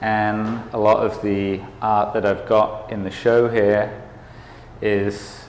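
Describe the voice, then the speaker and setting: Very slowly, a man speaks at a fairly low pitch in a monotone, flat intonation. Audible room echo can be heard. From England, Worcester. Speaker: artist. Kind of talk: casual interview at art exhibit.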